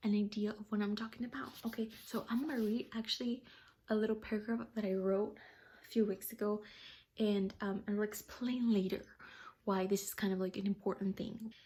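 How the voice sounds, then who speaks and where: A woman speaks fairly quickly in a fairly high pitch, her voice somewhat breathy with a dark, mellow tone. Her intonation is monotone and flat. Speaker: vlogger. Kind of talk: casual monologue.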